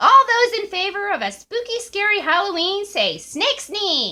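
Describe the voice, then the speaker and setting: Someone uses a squeaky, put-on character voice at a moderate pace. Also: female-sounding voice, extremely high pitch for a woman. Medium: read story.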